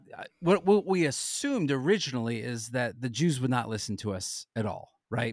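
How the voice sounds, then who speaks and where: A man with an American accent and an unremarkable speaking voice, medium in pitch, fairly quick, lively in intonation, on a very clean recording with a silent background. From Southern California. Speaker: ministry co-founder and teacher. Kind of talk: podcast interview.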